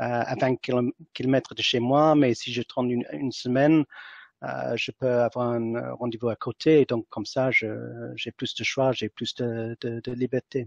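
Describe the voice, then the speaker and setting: A man with an English accent speaks at a fairly slow pace with fairly even intonation. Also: medium pitch for a man. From England. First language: English (speaking French). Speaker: entrepreneur. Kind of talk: interview. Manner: halting, many fillers and repetitions.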